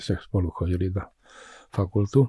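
A man's somewhat breathy voice has a dark, mellow tone and ordinary pitch variation at a moderate pace. The sound is dry with no echo, over a quiet background. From Czech-born, raised in Košice, eastern Slovakia; Slovakia. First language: Czech (speaking Slovak). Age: 80s+. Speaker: scientist and physician; guest. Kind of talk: interview. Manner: halting, repetitive. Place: studio. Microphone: studio mic.

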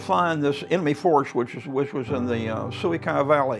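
A man speaks at a moderate pace. Clear music can be heard in the background. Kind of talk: interview answer. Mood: earnest, vivid storytelling. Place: home room. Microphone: lapel.

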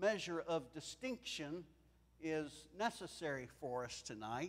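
A man's high voice at a fairly slow pace. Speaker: preacher. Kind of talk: sermon. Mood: warm, lightly humorous. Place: church. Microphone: lapel.

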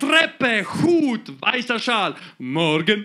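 Lively intonation marks a man's raised, projected voice. His pace is very slow. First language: Croatian (speaking German). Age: 30s. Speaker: comedian. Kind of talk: stand-up. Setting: stage with audience. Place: stage. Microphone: handheld.

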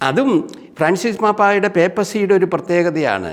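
A man speaks with noticeable noise in the background. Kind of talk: storytelling talk.

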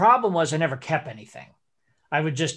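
A man talks with a quiet background behind him. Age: 50s. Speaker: school director and animator. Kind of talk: interactive online workshop. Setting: video call. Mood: relaxed, reflective. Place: home room. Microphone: video call.

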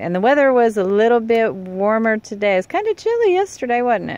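A woman talks with hardly any pauses and very wide pitch swings, in a dry sound with no echo. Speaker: fishing resort host. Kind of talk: casual talk to camera. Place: car. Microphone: phone near.

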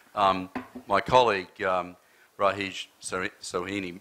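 With an Australian accent, a man speaks in a very deep, low pitch, his tone bright and sharp and his intonation monotone and flat. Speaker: audience member. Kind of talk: audience question. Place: hall. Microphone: handheld.

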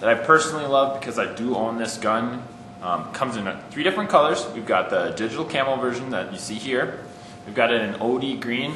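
The man talks at a fairly quick pace with ordinary pitch variation. There is audible room echo and light background noise. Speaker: presenter. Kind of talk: product overview. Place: shop.

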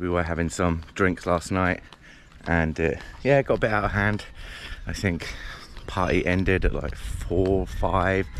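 There is light background noise and a dry sound with no echo. The pace is moderate, with ordinary pitch variation. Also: man. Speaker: travel vlogger. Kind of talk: casual vlog chat. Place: street. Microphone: phone near.

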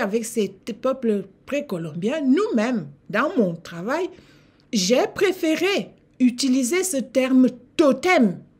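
Very slowly, a woman with a Cameroonian accent speaks at a high pitch with very wide pitch swings. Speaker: lecturer and channel host on African history and civilizations. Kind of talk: lecture. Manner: formal; didactic. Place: home room. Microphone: webcam.

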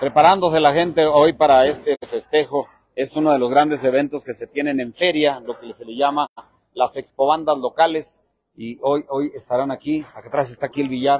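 A man with a fairly high pitch speaks at a moderate pace, his loudness swinging widely, in a dry recording with no echo and a quiet background. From Durango, Mexico. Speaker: local online show host; local reporter or host. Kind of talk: live roving broadcast. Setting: outdoors at a village fair, wireless mic, partly in a vehicle. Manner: animated. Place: street. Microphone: handheld.

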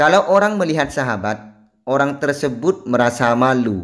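This is an ordinary speaking voice with lively intonation. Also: man. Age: 20s. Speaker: Islamic spiritual practice teacher. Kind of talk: religious instruction and tutorial; screen tutorial.

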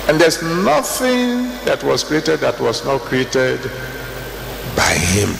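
Long, frequent pauses break up fairly slow speech, with light background noise and audible room echo. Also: man. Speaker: preacher, church General Overseer. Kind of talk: sermon preached to a congregation. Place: hall. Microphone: handheld.

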